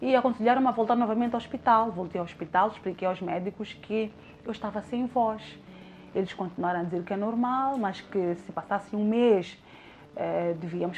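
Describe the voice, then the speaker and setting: Medium in pitch, a woman talks at a fairly quick pace with ordinary pitch variation. It is a normal speaking voice. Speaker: radio presenter. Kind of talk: testimony.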